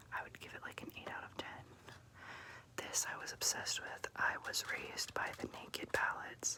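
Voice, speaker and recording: Someone is whispering. Noticeable background noise runs under the voice. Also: moderate pace. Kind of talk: ASMR makeup collection show-and-tell. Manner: whispered.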